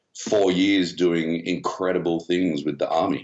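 Speaking with an Australian accent, a man takes a fairly slow pace. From Australia (Melbourne, Canberra). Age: 40s. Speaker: shark attack survivor, former soldier, TV presenter. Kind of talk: casual interview.

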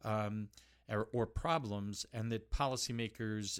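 This is a normal speaking voice from a man at medium pitch with ordinary pitch variation. The recording is very clean, with a silent background. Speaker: think tank expert and professor. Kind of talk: interview answers.

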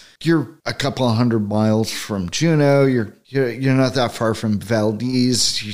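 A man's plain, everyday voice at a medium pitch, fairly slow, with ordinary pitch variation and an American accent. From Northern California. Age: 50s. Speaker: e-bike rider and shop customer. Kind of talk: casual interview chat.

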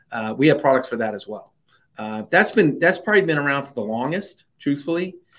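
On a very clean recording with a silent background, a man talks at a fairly quick pace in an unremarkable speaking voice at medium pitch. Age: middle-aged. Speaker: risk management company founder. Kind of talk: interview.

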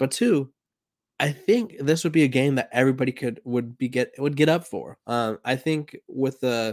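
A man speaks in a normal speaking voice at medium pitch with ordinary pitch variation. The sound is dry and close, with no echo. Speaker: sports podcast host. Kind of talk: solo podcast monologue about college football. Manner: casual, conversational, with filler words.

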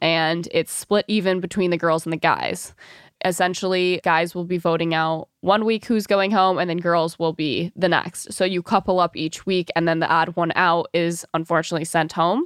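In a very clean recording with a silent background, a woman with an American accent speaks at a moderate pace. Her pitch is fairly low, and the sound is dry and close with no echo. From Michigan. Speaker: reality TV personality and influencer. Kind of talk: casual interview.

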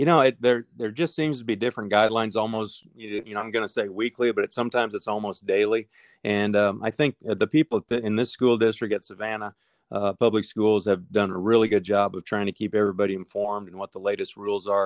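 A man with a Midwestern American accent speaks very fast in a fairly low pitch with fairly even intonation, over a quiet background with a dry, close sound and no echo. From Nebraska. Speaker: high school football coach. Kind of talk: interview.

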